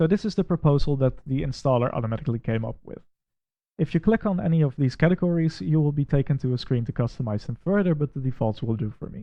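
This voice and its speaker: A man with a Dutch accent speaks at a very fast pace. His voice is fairly high with lively intonation. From Netherlands. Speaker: Windows administrator and tech reviewer. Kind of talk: software review with screen walkthrough.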